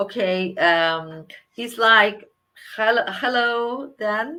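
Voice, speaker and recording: A woman with a Spanish accent speaks in a bright, sharp tone. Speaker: energy healer and interviewer. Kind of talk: interview. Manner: halting.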